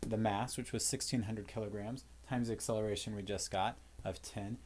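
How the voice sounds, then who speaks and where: Pitched at a medium level, a man speaks with fairly even intonation. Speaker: physics teacher. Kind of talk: lecture. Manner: fast; casual, with fillers.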